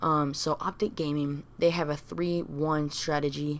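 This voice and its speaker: A woman mumbling in a very deep, low voice, flat and monotone, at a fairly slow pace. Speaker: gaming commentator. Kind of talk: casual talk to camera.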